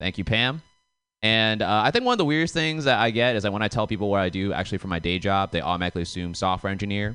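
Speaking very fast, a man with an American accent uses a fairly low pitch. The background is quiet. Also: lively intonation. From suburb outside Boston. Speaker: comedian. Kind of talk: stand-up. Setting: stage with audience.

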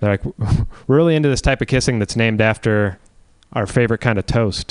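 Speaking fairly quickly in a plain, everyday voice, a man keeps a fairly low pitch with ordinary pitch variation, the sound dry and close with no echo. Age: 20s. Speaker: comedian. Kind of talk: stand-up.

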